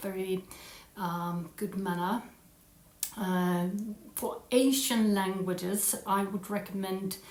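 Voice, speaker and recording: There is noticeable background noise and audible room echo as a woman talks at a very slow pace in a monotone, flat delivery. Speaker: language learning vlogger. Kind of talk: casual talk to camera. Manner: halting, many fillers; put-on British accent.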